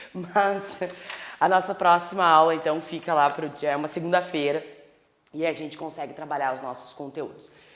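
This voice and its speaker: At a moderate pace, a woman speaks amid audible room echo. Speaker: law professor. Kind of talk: lecture.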